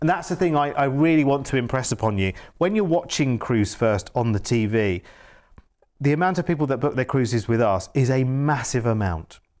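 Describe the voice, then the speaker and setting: A man with a Yorkshire accent, medium in pitch, fairly quick and lively in intonation, his loudness very even on a very clean recording with a silent background. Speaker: TV shopping presenter. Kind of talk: live TV sales pitch. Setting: TV studio, live broadcast. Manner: animated, enthusiastic.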